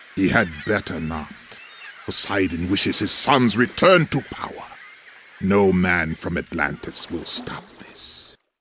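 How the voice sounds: Speaking slowly in a put-on character voice, a man keeps a low pitch with a bright, sharp tone. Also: lively intonation.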